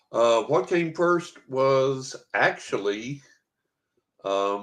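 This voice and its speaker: A man with lively intonation talks at a very slow pace against a quiet background. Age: 70s. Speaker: psychic medium and author. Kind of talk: casual interview chat.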